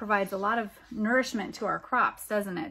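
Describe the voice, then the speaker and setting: This woman speaks with a somewhat breathy voice. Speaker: school librarian reading to children. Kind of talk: children's picture-book storytime reading, with pauses to comment on the pictures. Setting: home video recording with pets or children audible in the background. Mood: warm, gentle, animated. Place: home room. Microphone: phone near.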